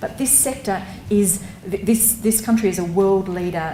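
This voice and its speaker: Against noticeable background noise and audible room echo, a woman with an Australian accent speaks at a moderate pace with fairly even intonation. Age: 40s. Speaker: public health advocate. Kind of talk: conference talk. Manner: hesitant, with fillers.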